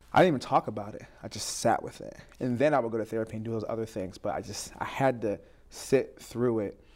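A man with an American accent and an unremarkable speaking voice talks at a fairly quick pace, with medium pitch and ordinary pitch variation. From Southeast New Jersey. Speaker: mental health speaker. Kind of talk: casual interview. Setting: studio.

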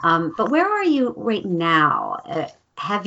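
A woman is speaking. Her pitch is medium. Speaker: podcast host. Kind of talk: interview, conversational. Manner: enthusiastic, upbeat.

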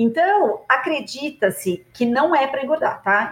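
With an unremarkable speaking voice, a woman keeps a moderate pace and ordinary pitch variation. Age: 50s. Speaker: gynecologist and obstetrician. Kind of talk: interview, expert explanation.

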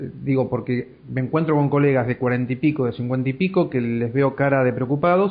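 A man speaks with an Argentine accent. His pitch varies in an ordinary way. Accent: Argentine Spanish (Rioplatense). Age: 40s. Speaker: podcast host, communications professional. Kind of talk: interview. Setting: Skype call.

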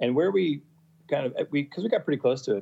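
A man speaks with an American accent. His pitch varies in an ordinary way. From Massachusetts, US. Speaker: sailor, charter guest. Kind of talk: casual interview. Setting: video call.

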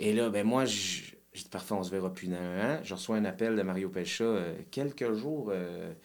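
The talking goes at a fairly slow pace, with ordinary pitch variation and audible room echo in the space. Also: man. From Quebec, Saint-Jérôme. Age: 40s. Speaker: musician. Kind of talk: casual chat.

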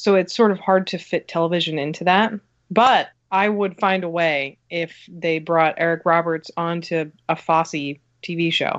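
A woman's plain, everyday voice with an American accent, fairly low in pitch, at a fairly slow pace with fairly even intonation. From New Jersey. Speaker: film magazine writer. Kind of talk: casual chat.

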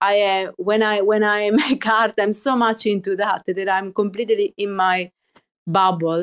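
On a very clean recording with a silent background, a woman with medium pitch speaks at a fairly slow pace. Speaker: artist. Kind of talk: casual chat. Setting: studio. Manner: animated.

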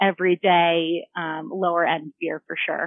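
A woman speaks in a plain, everyday voice at a fairly low pitch. Her pitch variation is ordinary. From Denver, Colorado, US. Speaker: food tour founder. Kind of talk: casual interview.

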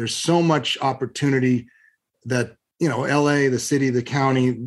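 In an American accent, a man with an ordinary speaking voice talks at a moderate pace with fairly even intonation. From Southern California, Long Beach. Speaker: real estate investment firm CEO. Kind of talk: interview.

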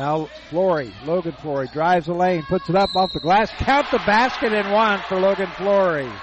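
With noticeable background noise behind him, a high-pitched man speaks at a moderate pace with lively intonation. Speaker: sports play-by-play announcer. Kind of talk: live sports commentary. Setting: gymnasium, courtside broadcast. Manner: stumbles and self-corrects.

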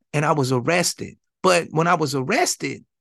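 Speaking with an American accent, a man uses a fairly high pitch with vocal fry. His pace is moderate and his pitch variation ordinary. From Flint, Michigan, US. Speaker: exoneree and prison organizer. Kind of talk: interview storytelling.

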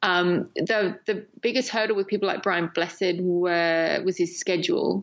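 A woman with a medium-pitched voice and an English accent. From England. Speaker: documentary filmmaker. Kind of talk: interview. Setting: remote call.

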